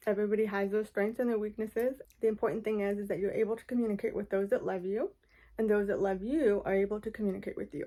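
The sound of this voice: A woman's fast speech, medium in pitch, with a dark, mellow tone and fairly even intonation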